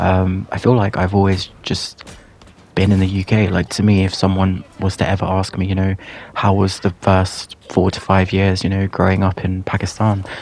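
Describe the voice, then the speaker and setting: A man speaks in a very deep, low pitch with monotone, flat intonation. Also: moderate pace. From England, Pakistani heritage. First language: Urdu or Punjabi. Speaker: YouTuber. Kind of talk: personal storytelling monologue. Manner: hesitant, many fillers.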